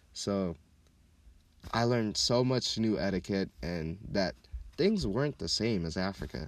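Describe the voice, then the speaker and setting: A man's fairly low, animated voice with lively intonation, a fairly slow pace and long, frequent pauses. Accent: American. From Minneapolis, Minnesota (also childhood in Kenya). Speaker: podcast host. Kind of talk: casual monologue.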